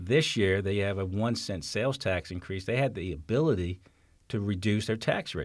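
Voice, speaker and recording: An ordinary speaking voice, this man's is fairly low, with an American accent, ordinary pitch variation and a moderate pace, on a very clean recording with a silent background. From New York City. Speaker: county executive. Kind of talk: interview.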